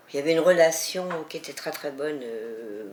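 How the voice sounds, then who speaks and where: A woman speaks with a very deep, low pitch. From rural France. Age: 70s. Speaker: retired teacher. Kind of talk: testimony. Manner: hesitant.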